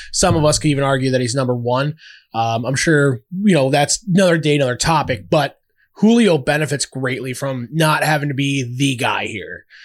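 Very cleanly recorded against a silent background, a man uses a normal speaking voice. His pitch is fairly high, with ordinary variation. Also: fairly quick pace. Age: 20s. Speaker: former semi-pro football player. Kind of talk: casual chat. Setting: studio.

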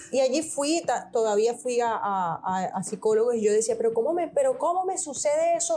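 A woman speaks at a high pitch with very wide pitch swings. The recording is very clean, with a silent background. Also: fairly quick pace. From Venezuela, Portuguese parents. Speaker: coach. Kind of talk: interview conversation.

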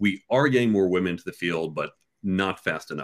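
A man with an American accent, an unremarkable speaking voice, fairly low pitch, lively intonation and a fairly quick pace. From US, New York and Chicago suburbs. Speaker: entrepreneur and career author. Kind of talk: casual interview.

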